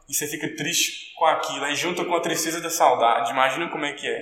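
A man with a fairly high pitch talks at a moderate pace, and noticeable background noise and audible room echo fill the recording. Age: 20s. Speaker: professional footballer. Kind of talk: interview.

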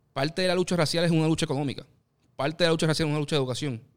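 Very fast speech comes from a man with a fairly high pitch. The recording is very clean, with a silent background. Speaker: podcast co-host, columnist. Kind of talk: casual discussion.

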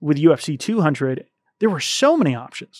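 A man at a moderate pace, in a very clean recording, silent background, with a dry, close sound with no echo. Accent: Tennessee. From US South, rural Tennessee. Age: 30s. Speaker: YouTube channel co-founder. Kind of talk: casual interview. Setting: studio.

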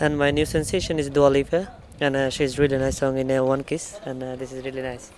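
This man's voice sits fairly high and moves at a fairly quick pace. His intonation stays fairly even against noticeable background noise. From Bangladesh. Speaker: interviewee on community radio. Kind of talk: street interview. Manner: halting.

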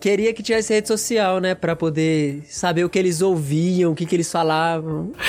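A man with a high pitch and a Brazilian accent, ordinary pitch variation, a moderate pace and hardly any pauses. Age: 20s. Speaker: seminary student and youth leader. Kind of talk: casual chat.

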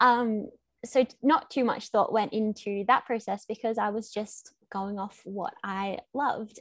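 A woman with an Australian accent, fairly high pitch, fairly even intonation and a fairly slow pace. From Australia, Melbourne. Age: 20s. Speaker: small business owner. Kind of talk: casual interview chat.

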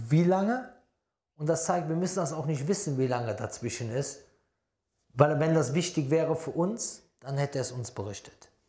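With a dark, mellow tone and a somewhat breathy quality, the voice moves at a moderate pace with lively intonation and long, frequent pauses, in a room with audible echo. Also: man. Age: 40s. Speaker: Islamic preacher. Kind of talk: religious lecture.

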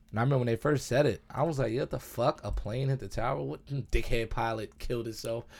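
A man speaks at a very fast pace with hardly any pauses, in an animated tone. His medium-pitched voice has ordinary pitch variation, on a very clean recording with a silent background. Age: 30s. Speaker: podcast co-host. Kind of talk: casual chat.

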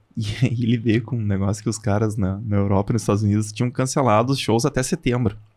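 A man with a fairly low pitch talks very fast, keeping his intonation fairly even. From southern Brazil, Passo Fundo (Rio Grande do Sul). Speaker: hairdresser and salon business owner. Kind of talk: casual chat.

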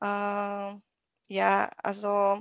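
A woman speaks in a fairly high pitch with a Hungarian accent. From Hungary. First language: Hungarian (speaking German). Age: 30s. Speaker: nutrition coach. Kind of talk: podcast interview. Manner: halting, many fillers.

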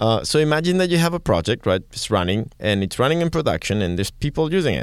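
A man with a Catalan accent speaks at a very fast pace with very wide pitch swings on a very clean recording with a silent background. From Catalonia, Spain. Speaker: tech podcast co-host. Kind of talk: casual chat.

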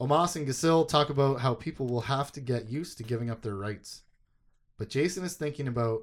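On a very clean recording with a silent background, a man speaks at a fairly quick pace. He has an unremarkable speaking voice with lively intonation. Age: 30s. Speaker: podcast host. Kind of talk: casual chat.

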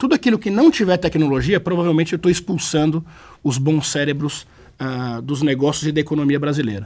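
Here a man talks at a fairly quick pace and a fairly high pitch. He has an unremarkable speaking voice. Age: 30s. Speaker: innovation expert. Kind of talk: interview.

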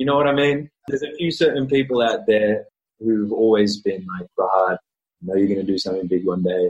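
A man with an Australian accent speaks at a fairly low pitch. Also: lively intonation, fairly quick pace. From Australia (Melbourne). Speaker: actor. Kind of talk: casual chat interview.

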